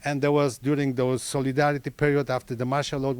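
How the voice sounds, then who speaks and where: A man with a Polish accent, fairly high in pitch, with monotone, flat intonation. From Poland. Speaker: audience member asking a question. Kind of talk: audience Q&A question.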